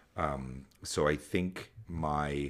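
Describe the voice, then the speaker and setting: With fairly even intonation, a man speaks in a very deep, low pitch. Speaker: podcast host. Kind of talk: casual chat. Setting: remote call. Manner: loud.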